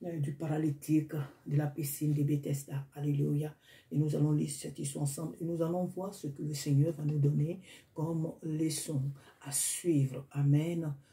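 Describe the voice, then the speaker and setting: At a moderate pace, a woman with a non-native accent speaks in a very deep, low pitch, her tone dark and mellow, somewhat breathy, with monotone, flat intonation. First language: not French (speaking French). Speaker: preacher. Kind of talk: sermon. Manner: halting.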